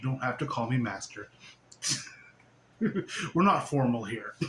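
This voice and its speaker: Over noticeable background noise, a man at medium pitch speaks at a moderate pace with lively intonation, big swings in loudness, and long, frequent pauses. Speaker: spiritual teacher. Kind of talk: casual spiritual monologue. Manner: animated, giggly.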